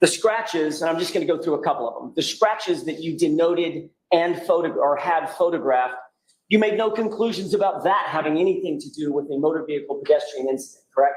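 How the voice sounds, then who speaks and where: A man talks loudly and very fast at a high pitch with ordinary pitch variation, with audible room echo around him. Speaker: defense attorney. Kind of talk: courtroom cross-examination. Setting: courtroom. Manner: raised voice, loud; formal.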